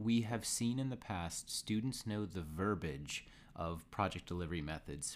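A man speaks in an ordinary speaking voice. His pitch sits fairly low, and his intonation is lively. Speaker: university professor. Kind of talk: casual course podcast.

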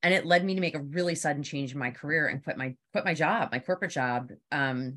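A woman talks at a fairly quick pace with a Philadelphia accent. Her pitch is very deep and low. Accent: Philadelphia area. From Philadelphia area, US East Coast. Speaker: PR consultant. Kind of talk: casual interview chat.

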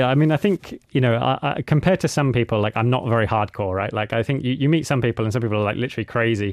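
Speaking very fast with a British accent and hardly any pauses, a man at medium pitch swings his pitch very widely, dry and close with no echo against a quiet background. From UK. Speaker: adventurer and mountaineer. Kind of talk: radio interview. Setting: radio studio.

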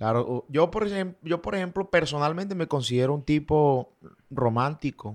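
A man's plain, everyday voice, fairly high in pitch, with ordinary pitch variation and a fairly slow pace. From Colombian Caribbean coast, Valledupar. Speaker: vallenato singer. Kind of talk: casual interview chat.

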